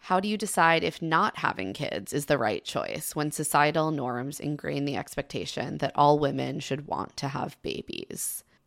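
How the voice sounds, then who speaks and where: In a very clean recording with a silent background, a woman with an American accent and a very deep, low pitch talks at a moderate pace with lively intonation, vocal fry and hardly any pauses. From US suburbs. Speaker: podcast host. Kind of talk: casual chat.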